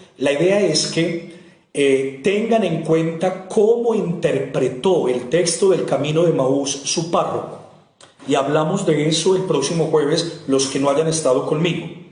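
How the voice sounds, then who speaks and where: A man speaks at a fairly slow pace in a fairly high pitch, with ordinary pitch variation and very even loudness, over noticeable background noise and audible room echo. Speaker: priest teaching a Bible course. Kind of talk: lecture.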